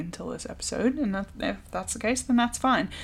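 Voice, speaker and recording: Vocal fry runs through this speech in an American accent. The pace is fairly quick. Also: woman. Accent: American accent noticed in UK. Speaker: podcast co-host. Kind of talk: casual chat.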